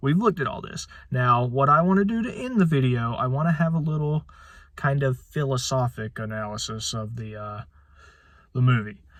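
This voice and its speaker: The man speaks at a moderate pace with lively intonation. His voice is somewhat breathy. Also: fairly high pitch for a man. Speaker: movie reviewer. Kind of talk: video review. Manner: halting, many filler words.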